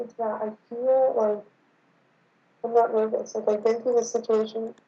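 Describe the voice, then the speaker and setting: Over music in the background, a woman talks at a moderate pace in a fairly high pitch. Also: long, frequent pauses, big swings in loudness. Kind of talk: casual chat. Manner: stutters, trips over words.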